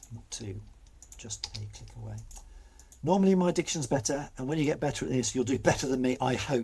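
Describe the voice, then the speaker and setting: A man speaks in a British accent, his loudness swinging widely. Long, frequent pauses break up his speech. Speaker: video editing tutor. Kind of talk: tutorial.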